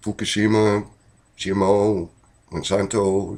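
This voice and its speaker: Monotone and flat, a man's fairly low voice moves at a very slow pace. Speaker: DIY hobbyist vlogger. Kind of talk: casual monologue. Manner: conversational with fillers.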